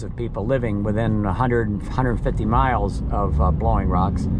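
A man is heard with noticeable background noise. The sound is dry, with no echo. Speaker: local vlogger driving. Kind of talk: casual vlog chat. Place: car. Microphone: phone near.

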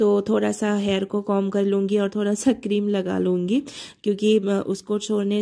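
At a fairly slow pace, a woman speaks at a medium pitch in a dark, mellow tone, her intonation monotone and flat. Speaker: homemaker vlogger. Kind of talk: vlog narration.

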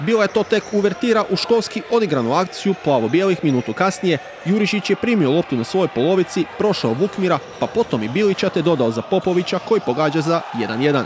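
A man with a high voice talks at a fairly quick pace with an energetic tone, very wide pitch swings and very even loudness, over noticeable background noise. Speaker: sports commentator. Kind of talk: sports highlights commentary, voiceover recap of a futsal match. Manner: fast, energetic play-by-play delivery; clear, formal, report-style narration.

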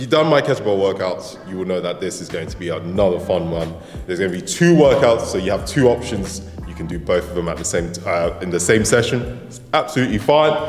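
Speech comes at a very fast pace over faint background music, with audible room echo. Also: man, very deep, low pitch for a man. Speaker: fitness trainer. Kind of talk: tutorial. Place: gym.

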